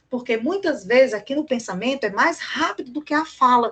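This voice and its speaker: With a high pitch and lively intonation, a woman talks at a moderate pace in a bright, sharp tone. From Ceará, Brazil. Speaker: teacher. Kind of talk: online lecture. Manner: frequent filler tags like né and tá.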